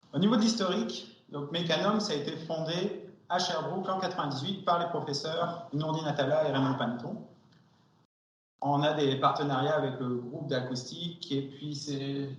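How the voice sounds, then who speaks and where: At a moderate pace, a man with a fairly high pitch and ordinary pitch variation talks amid audible room echo. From France. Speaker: acoustics company R&D director. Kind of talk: seminar presentation. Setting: seminar with audience. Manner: hesitant, many fillers.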